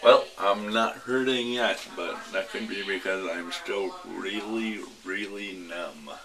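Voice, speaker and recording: Over noticeable background noise, a man speaks very slowly in a fairly low pitch. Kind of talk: casual vlog chat. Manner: numb-mouthed speech after wisdom teeth removal. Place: home room. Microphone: phone near.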